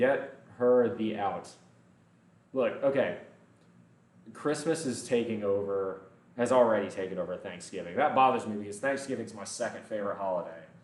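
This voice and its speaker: Speaking at a moderate pace in an animated tone, a man with a medium-pitched voice is heard with audible room echo. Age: 20s. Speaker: fitness streamer. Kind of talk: live stream chat while working out. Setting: gym.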